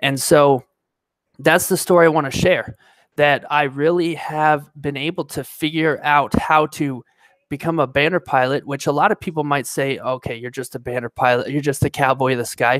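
In a General American accent, the speaker talks at a moderate pace with fairly even intonation. The background is quiet and the sound is dry with no echo. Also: man, fairly high pitch for a man. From Colorado, Denver; Colorado. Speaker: pilot and video creator; video creator. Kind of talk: live stream talk. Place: home room. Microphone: headset.

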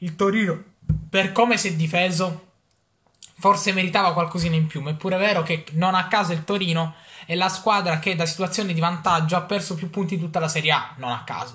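A man talks at a fairly quick speed, with a quiet background behind him. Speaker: football fan vlogger reviewing Juventus matches. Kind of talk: angry ranting match reaction, foul-mouthed fan rant. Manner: loud, ranting, furious, swearing; animated, rapid, exasperated, venting. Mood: relieved yet frustrated fan. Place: home room. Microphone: webcam.

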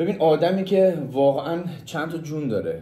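A man speaks in a dark, mellow tone. Room echo is audible around him. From Mazandaran, northern Iran. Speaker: friend giving a tribute. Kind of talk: casual testimonial. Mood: warm, admiring. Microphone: phone near.

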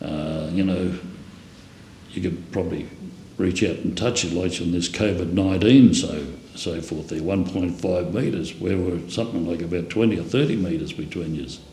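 A man with a low pitch, ordinary pitch variation and a dark, mellow tone, in audible room echo. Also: moderate pace.

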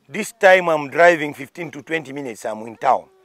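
Here a man talks at a moderate pace. The sound is dry with no echo, and the background is quiet. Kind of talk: interview answer. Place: open country. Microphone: lapel.

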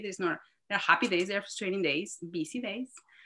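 Against a quiet background, a woman with a Spanish accent speaks in a bright, sharp tone with lively intonation. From Mexico City. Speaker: marine scientist. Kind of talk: interview.

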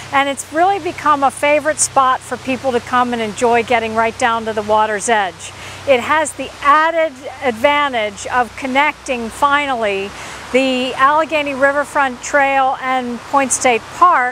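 A woman's raised, projected voice at a moderate pace with ordinary pitch variation, a dry sound with no echo and light background noise. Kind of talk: interview answer. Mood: warm, enthusiastic. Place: street. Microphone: lapel.

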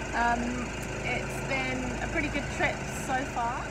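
A woman talks fairly slowly over loud background noise. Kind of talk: casual vlog chat. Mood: relaxed, content. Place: boat. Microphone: phone near.

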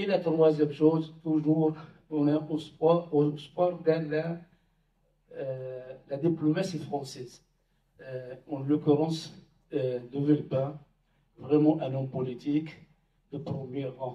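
A man speaks very slowly, somewhat breathy and fairly high in pitch, with long, frequent pauses. His intonation stays fairly even amid audible room echo. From Palestine. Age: 60s. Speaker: Palestinian community speaker; speaker. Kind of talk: public debate talk. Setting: village hall with audience. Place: hall.

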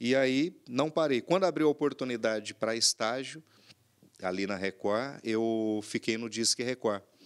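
A man at a fairly slow pace, with ordinary pitch variation against a quiet background. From São Paulo interior, Brazil; São Paulo, Brazil. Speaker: podcast guest, journalist, councilman. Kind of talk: interview conversation. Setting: TV studio. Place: studio. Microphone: studio mic.

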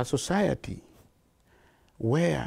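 With a dark, mellow tone, a man speaks using lively intonation. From Kenya. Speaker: charity founder and director. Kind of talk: interview answer. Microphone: lapel.

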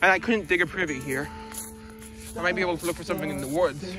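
Over clear background music, a man talks at a very fast pace with ordinary pitch variation in a dry sound with no echo. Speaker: explorer vlogger. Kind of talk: casual vlog chat. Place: open country. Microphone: phone near.

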